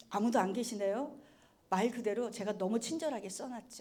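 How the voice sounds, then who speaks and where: A woman speaks in an animated tone. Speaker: color therapist giving a talk. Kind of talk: lecture. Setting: stage with audience.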